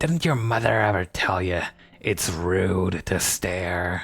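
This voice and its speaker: Over faint background music, a man uses a put-on character voice, very deep and low, growling and hissing at a fairly slow pace. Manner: sarcastic, scolding.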